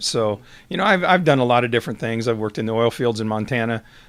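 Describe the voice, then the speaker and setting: Here a man speaks with a Midwestern US accent. His pitch is medium, with ordinary pitch variation. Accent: rural Midwestern American. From US Midwest, southwest Iowa. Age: 60s. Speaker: retiring high school football coach. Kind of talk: interview. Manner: halting, many fillers.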